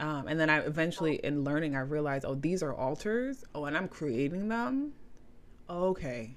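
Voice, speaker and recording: Speaking at a moderate pace with a New York accent, a woman uses a very deep, low pitch with ordinary pitch variation. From New York, the Bronx. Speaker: spiritual practitioner, tarot reader. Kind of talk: interview conversation. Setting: video call.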